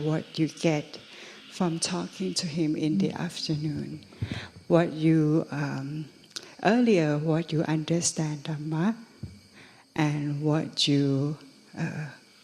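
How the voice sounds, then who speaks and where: In a Thai accent, a woman speaks at a very slow pace with a very deep, low pitch, fairly even intonation, and long, frequent pauses. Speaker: interpreter. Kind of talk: interpreting.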